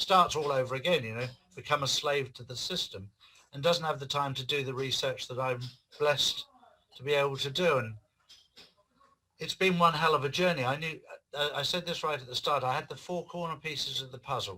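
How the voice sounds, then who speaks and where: A man with an English accent, bright and sharp in tone, his intonation fairly even, his pace fairly quick, with long, frequent pauses. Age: 60s. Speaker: author and activist. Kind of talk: interview.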